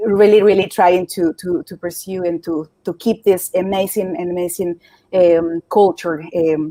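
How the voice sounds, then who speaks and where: The speech is delivered in a fairly slow, monotone, flat way with a dark, mellow tone and big swings in loudness, captured as a dry, close sound with no echo. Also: woman, medium pitch for a woman. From Mexico City, Mexico. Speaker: climate activist. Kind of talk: interview. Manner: halting, many repetitions and fillers.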